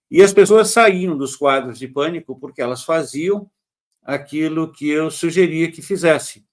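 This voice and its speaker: A man with an unremarkable speaking voice talks at a fairly high pitch with ordinary pitch variation. The background is quiet. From Brazil, Santos, São Paulo state. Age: 60s. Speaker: holistic therapist. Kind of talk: interview. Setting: live stream.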